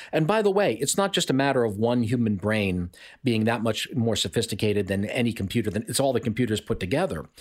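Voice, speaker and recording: A man's medium-pitched voice at a very fast pace in a very clean recording with a silent background. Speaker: economist. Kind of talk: interview discussion.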